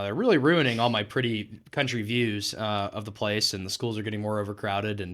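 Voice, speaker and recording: Speaking with an American accent, a man uses a fairly low pitch and fairly even intonation. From Texas, Weatherford. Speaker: political campaign manager. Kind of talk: podcast interview. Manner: casual, many filler words.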